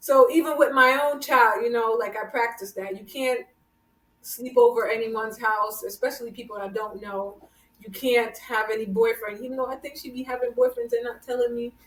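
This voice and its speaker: A woman's high-pitched voice with a slight Jamaican accent, fairly quick pace and big swings in loudness. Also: fairly even intonation. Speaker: podcast host. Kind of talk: casual chat.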